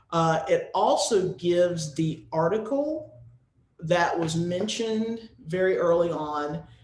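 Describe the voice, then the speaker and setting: Amid audible room echo, a man with an American accent speaks very slowly at a high pitch with ordinary pitch variation. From US, North Carolina. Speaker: music educator, presenter. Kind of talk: webinar presentation with Q&A.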